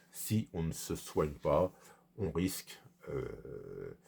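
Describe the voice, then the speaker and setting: The tone is dark and mellow, and the voice is somewhat breathy. Pitch variation is ordinary. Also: man. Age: 60s. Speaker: vlogger. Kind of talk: personal vlog monologue. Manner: halting, many hesitations.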